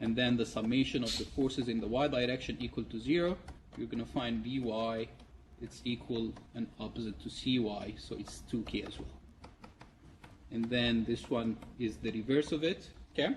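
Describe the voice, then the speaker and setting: Over noticeable background noise, a man of medium pitch speaks with ordinary pitch variation and long, frequent pauses. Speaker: university lecturer. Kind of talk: lecture. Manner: fast.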